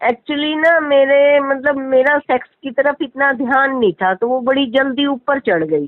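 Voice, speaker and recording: The speech flows with hardly any pauses and ordinary pitch variation. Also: woman, high pitch for a woman. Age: 60s. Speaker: caller seeking spiritual advice. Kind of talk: question and answer chat.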